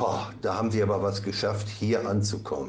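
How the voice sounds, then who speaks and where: There is audible room echo around this man's voice. He speaks at a fairly low pitch and a moderate pace. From Ostwestfalen, Germany. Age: 60s. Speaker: addiction therapist. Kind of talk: interview. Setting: studio.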